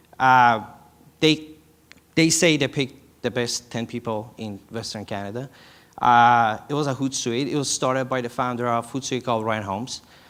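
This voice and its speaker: Intonation here is fairly even. The delivery keeps a moderate pace. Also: man, medium pitch for a man. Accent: non-native. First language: not English. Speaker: startup founder. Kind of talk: conference presentation. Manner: halting.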